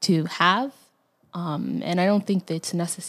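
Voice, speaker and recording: A woman talks at a moderate pace with ordinary pitch variation. Vocal fry runs through her voice. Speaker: podcast co-host. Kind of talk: casual chat.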